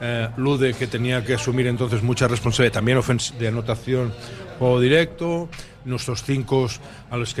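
Against noticeable background noise, a man at medium pitch speaks with fairly even intonation. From western Catalonia. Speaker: basketball coach. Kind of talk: radio talk show interview. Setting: live broadcast from a bar.

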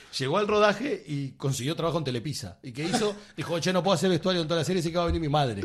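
Talking at a very fast pace with a Rioplatense accent, a man with a high pitch uses lively intonation over noticeable background noise. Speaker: film director. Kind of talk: casual chat.

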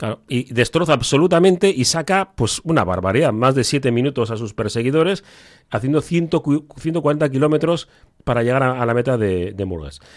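A man with a plain, everyday voice speaks at a medium pitch and moderate pace with lively intonation, in a very clean recording with a silent background. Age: 50s. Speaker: podcast host. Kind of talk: casual chat.

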